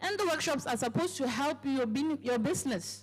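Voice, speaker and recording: A woman speaks with an African accent at a high pitch. Her pitch swings very widely. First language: African language. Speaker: company speaker at business launch. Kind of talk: sales pitch. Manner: hesitant, filler-heavy.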